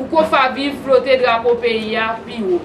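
Noticeable noise fills the background. A woman talks at a moderate pace, her pitch varying in an ordinary way. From Haiti. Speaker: women's rights organization spokesperson. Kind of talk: public appeal statement. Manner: formal. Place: hall. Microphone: phone near.

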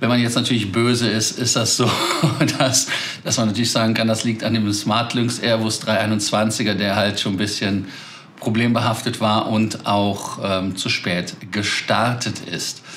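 At a fairly slow pace, a man talks with very even loudness and fairly even intonation over light background noise. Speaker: aviation news host. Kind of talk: news commentary to camera. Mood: amused, chatty. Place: home room.

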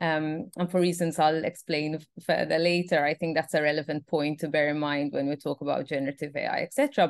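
Against a quiet background with a dry sound and no echo, a woman talks at a moderate pace in a very deep, low pitch with monotone, flat intonation. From Malta. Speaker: PhD researcher. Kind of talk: online panel discussion. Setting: video call. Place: home room. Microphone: video call.

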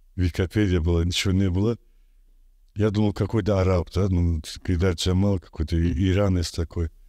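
Against a quiet background, a man with a very deep, low pitch and a dark, mellow tone speaks in a monotone, flat way at very even loudness, with long, frequent pauses. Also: moderate pace, dry sound with no echo. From Azerbaijan. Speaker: artist; interviewee. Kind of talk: interview. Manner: halting. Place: studio. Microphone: studio mic.

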